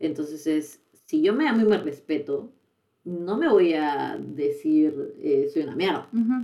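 A woman talks with lively intonation at a fairly low pitch. It is a normal speaking voice. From Peru. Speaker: podcast co-host. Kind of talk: casual chat. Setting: studio.

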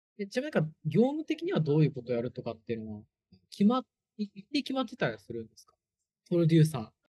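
In a dry, close recording with no echo, a man with a dark, mellow tone and fairly high pitch talks at a very fast pace, with very wide pitch swings, big swings in loudness and long, frequent pauses. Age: 20s. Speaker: startup founder. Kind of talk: casual chat.

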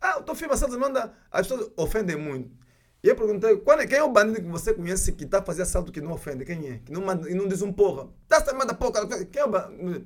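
This man talks at a very fast pace with a high pitch, very wide pitch swings and big swings in loudness. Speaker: film director. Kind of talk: interview. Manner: halting.

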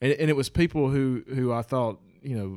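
In a Southern US accent, a man talks at a fairly quick pace with ordinary pitch variation, in a very clean recording with a silent background. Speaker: podcast co-host. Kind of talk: casual chat.

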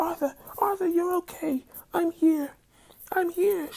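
A squeaky, put-on character voice sits at an extremely high pitch. The delivery is fairly slow. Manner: frantic, urgent.

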